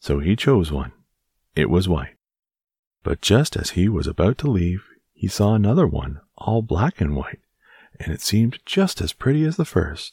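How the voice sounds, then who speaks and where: A man with a very deep, low pitch, a dark, mellow tone and a soothing, gentle quality speaks somewhat breathily with very wide pitch swings and long, frequent pauses. The recording is very clean with a silent background, and the sound is dry and close with no echo. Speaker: bedtime story narrator. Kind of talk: bedtime story narration, reading aloud a children's tale to help listeners fall asleep. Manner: slow, soft, soothing and gentle; calm, steady, lulling storyteller pacing.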